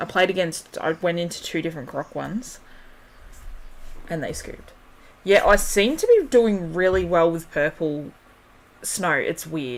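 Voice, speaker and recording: Someone speaks at a moderate pace with long, frequent pauses over noticeable background noise. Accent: Australian. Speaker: gaming streamer. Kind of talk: casual livestream commentary. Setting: home livestream. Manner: loud. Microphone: mic shown on screen, not too close.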